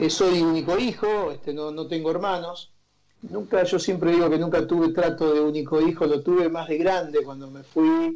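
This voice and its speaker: Audible room echo surrounds a man with a high pitch and a dark, mellow tone. He keeps fairly even intonation at a moderate pace, with big swings in loudness. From Argentina, Santa Fe province near Rosario. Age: 50s. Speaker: journalist. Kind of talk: interview conversation. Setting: remote call from home.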